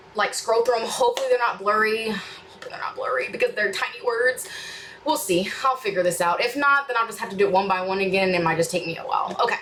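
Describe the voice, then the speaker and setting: Talking at a very fast pace, a woman has a fairly high pitch and ordinary pitch variation. Noticeable background noise runs beneath her. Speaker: reaction YouTuber. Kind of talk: casual chat to viewers, Q&A. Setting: home studio room. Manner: rambling, hesitant with fillers.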